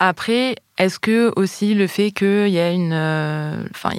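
Recorded very cleanly with a silent background, a woman speaks at a medium pitch in a dry, close sound with no echo. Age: 30s. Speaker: linguistics doctoral student. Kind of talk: interview. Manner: hesitant, many fillers.

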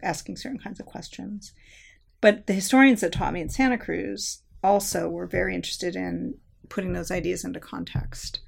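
On a very clean recording with a silent background, a woman speaks at a fairly quick pace with big swings in loudness. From Southern California. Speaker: history professor. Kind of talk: interview conversation.

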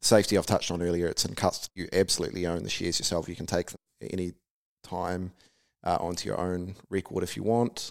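A man talks at a very fast pace in a very deep, low voice with a New Zealand accent. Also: ordinary pitch variation, dry, close sound with no echo. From New Zealand, Taranaki. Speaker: company founder and CEO. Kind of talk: interview.

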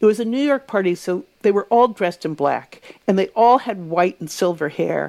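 A woman speaks in an ordinary speaking voice at medium pitch. Her intonation is lively and her pace moderate. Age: 60s. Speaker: author and publishing editor. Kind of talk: casual interview chat.

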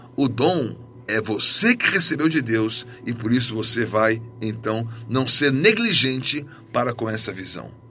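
A man with a medium-pitched voice speaks at a fairly slow pace with ordinary pitch variation, over background music and audible room echo. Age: 50s. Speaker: pastor. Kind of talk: sermon.

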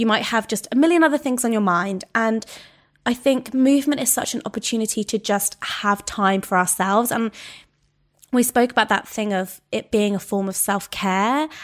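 In a very clean recording with a silent background, a woman with a normal speaking voice talks at a moderate pace, her fairly high pitch showing ordinary variation. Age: 30s. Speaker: fitness coach and author. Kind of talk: casual interview.

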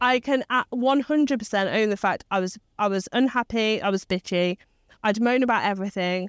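A woman with an English Midlands accent speaks at a moderate pace in a fairly high voice, with ordinary pitch variation and very even loudness. The recording is very clean, with a silent background and a dry, close sound free of echo. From English Midlands, Leicester. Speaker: business mentor and CEO. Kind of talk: interview conversation. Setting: rooftop location.

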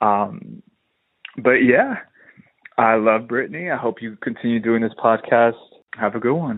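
A man with an American accent talks at a fairly slow pace in a medium pitch, with ordinary pitch variation and long, frequent pauses. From New Jersey. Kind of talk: voicemail message.

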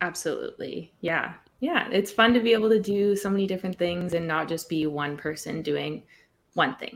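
Medium pitch and a plain, everyday voice from a woman, ordinary pitch variation, moderate pace. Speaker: singer-songwriter and TikToker. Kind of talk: interview chat.

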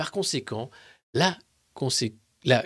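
A man's voice with vocal fry, on a very clean recording with a silent background. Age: 50s. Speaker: political commentator. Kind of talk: live press review. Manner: animated.

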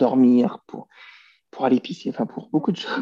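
A man's voice comes across dry and close, without any echo. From France. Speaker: personal development coach. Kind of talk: interview.

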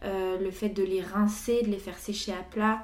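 In a room with audible echo, a woman speaks at medium pitch in a dark, mellow tone with fairly even intonation. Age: 20s. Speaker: visual artist. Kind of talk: casual chat.

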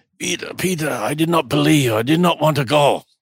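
A man's put-on character voice with a German accent, raspy and fairly high-pitched, at a moderate pace.

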